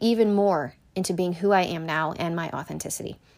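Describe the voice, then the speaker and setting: An ordinary speaking voice from a woman with an American accent, medium in pitch with ordinary pitch variation, on a very clean recording with a silent background. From Connecticut, then Pennsylvania from age eight. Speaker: podcast host. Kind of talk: solo motivational talk.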